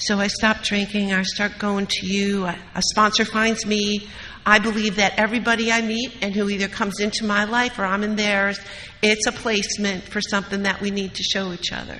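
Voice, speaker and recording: Over noticeable background noise, a woman with an American accent talks at a fairly quick pace, at medium pitch, in a monotone, flat intonation. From US Midwest, Wisconsin. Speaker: recovery meeting speaker. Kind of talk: recovery talk.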